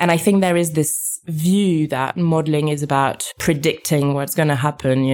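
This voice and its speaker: A woman with a French accent speaks at a moderate pace, her very deep, low voice keeping fairly even intonation. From France. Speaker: epidemiologist. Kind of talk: interview.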